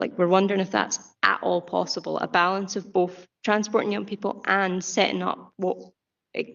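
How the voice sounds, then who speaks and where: A woman with a Scottish accent speaks at a medium pitch and a moderate pace. Her intonation is monotone and flat, with vocal fry. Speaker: youth representative on council committee. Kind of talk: committee meeting questioning. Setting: council committee meeting.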